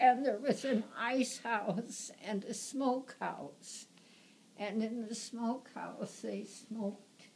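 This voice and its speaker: Through noticeable background noise, a woman with a fairly high pitch speaks very slowly with ordinary pitch variation. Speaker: grandmother. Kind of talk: casual family reminiscence.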